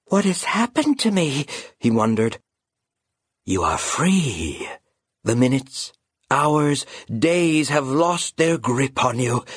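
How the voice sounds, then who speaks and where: Speaking at a very slow pace with long, frequent pauses, a man with a fairly high pitch and lively intonation sounds somewhat breathy in a dry, close recording with no echo. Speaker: audiobook narrator. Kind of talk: dramatic audiobook narration of a children's fantasy story, storytelling tone. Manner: hushed, suspenseful and slow, building tension as Concord's heart stops; grave, measured and ominous, with a chilling undertone.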